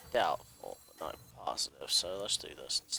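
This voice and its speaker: A man is speaking. His pace is moderate. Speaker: gaming streamer. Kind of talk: gameplay commentary.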